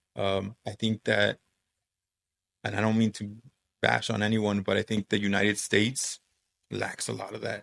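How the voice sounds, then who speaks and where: Speaking with a Spanish accent, a man uses a fairly low pitch and vocal fry in a flat, monotone way, leaving long, frequent pauses. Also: moderate pace, dry, close sound with no echo. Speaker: high school Spanish teacher. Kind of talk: casual chat.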